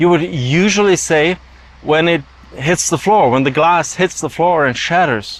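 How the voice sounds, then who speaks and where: At a moderate pace, a man talks while noticeable background noise is heard. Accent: non-native. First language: German. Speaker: YouTube commentator. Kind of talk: monologue.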